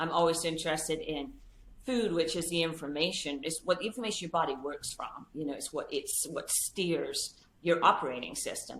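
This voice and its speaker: A woman speaks in an American accent at a fairly low pitch and a fairly quick pace. Her pitch varies in an ordinary way. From England. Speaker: dietitian, author. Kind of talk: podcast interview.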